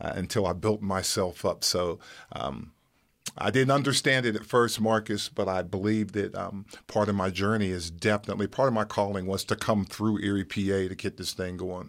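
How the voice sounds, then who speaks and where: A plain, everyday voice: a man with an American accent, fairly low pitch, fairly even intonation and a moderate pace, on a very clean recording with a silent background. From West Virginia, Wellsburg. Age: 60s. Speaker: small business owner. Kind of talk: interview.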